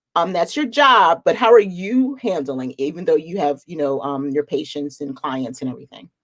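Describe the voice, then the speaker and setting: A woman talks at a moderate pace in a fairly low voice with a slight Philadelphia accent. Her pitch swings very widely. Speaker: reseller, channel host. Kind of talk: casual chat. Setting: live stream video call.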